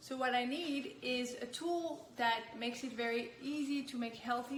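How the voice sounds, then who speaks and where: With a French accent, a woman speaks high in pitch and with fairly even intonation. Audible room echo surrounds her voice. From France. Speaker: nutrition health coach. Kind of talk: product demonstration.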